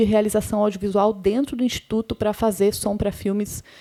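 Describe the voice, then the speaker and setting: On a very clean recording with a silent background and a dry, close sound with no echo, a woman with an unremarkable speaking voice talks at a medium pitch and a moderate pace. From interior of Paraná, Brazil. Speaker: sound editor and professor. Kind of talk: panel talk.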